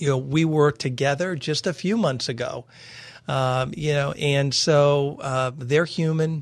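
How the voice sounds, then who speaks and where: An ordinary speaking voice from a man, fairly high in pitch, with fairly even intonation over a quiet background. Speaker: radio programming executive. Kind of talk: radio interview. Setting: studio.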